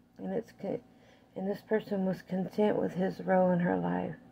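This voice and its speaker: A woman talks fairly slowly while light background noise sits behind her. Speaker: tarot reader. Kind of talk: tarot reading commentary. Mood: calm, measured. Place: kitchen. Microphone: phone near.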